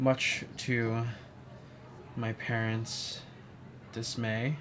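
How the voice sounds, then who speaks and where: A man at a medium pitch speaks with monotone, flat intonation. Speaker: vlogger. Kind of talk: personal reflection monologue. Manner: hesitant, many fillers.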